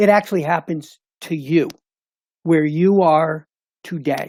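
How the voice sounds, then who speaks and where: A man's high-pitched voice holds a fairly even intonation. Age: 70s. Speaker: retired engineer and board chairman. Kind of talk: panel discussion.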